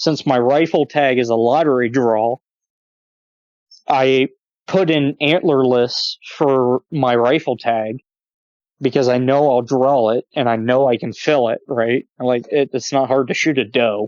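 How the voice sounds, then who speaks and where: A man speaks in a normal speaking voice at medium pitch, fairly slowly, with fairly even intonation and very even loudness. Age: 30s. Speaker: hunter and gun enthusiast podcast guest. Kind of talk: casual chat.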